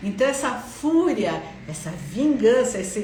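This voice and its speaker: Through audible room echo and noticeable background noise, a woman speaks at a fairly slow pace with lively intonation. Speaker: psychologist. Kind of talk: instagram live talk. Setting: live stream.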